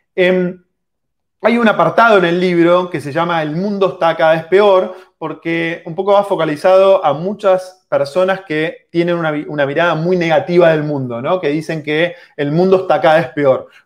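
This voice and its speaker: A man speaks at a high pitch and moderate pace. His intonation stays fairly even. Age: 40s. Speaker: book author. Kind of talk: live online book presentation. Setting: livestream video call.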